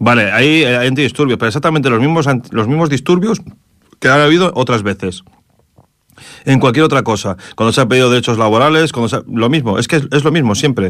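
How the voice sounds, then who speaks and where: A very fast pace with very even loudness and ordinary pitch variation. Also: man, medium pitch for a man. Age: 40s. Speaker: radio host. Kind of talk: casual radio commentary.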